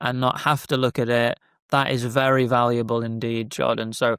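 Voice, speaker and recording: The sound is dry and close, with no echo. The recording is very clean, with a silent background. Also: man. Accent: British. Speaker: business founder. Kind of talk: casual interview chat.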